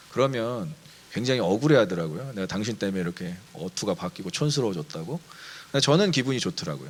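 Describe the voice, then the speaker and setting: A man speaks at a medium pitch. His pitch swings very widely. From Daejeon, Chungcheong, South Korea. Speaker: pastor. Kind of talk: sermon. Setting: online church service.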